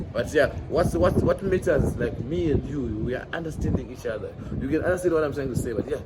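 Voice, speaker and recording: Noticeable background noise accompanies a man speaking at a very fast pace. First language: Shona. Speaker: vlogger. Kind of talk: walking street vlog. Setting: outdoors on a city street. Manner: casual, halting with many fillers.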